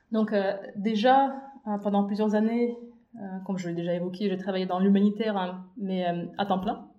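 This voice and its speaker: A woman speaks at a moderate pace with fairly even intonation and long, frequent pauses, in audible room echo. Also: medium pitch for a woman. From Belarus, Minsk. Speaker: humanitarian consultant. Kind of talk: casual chat.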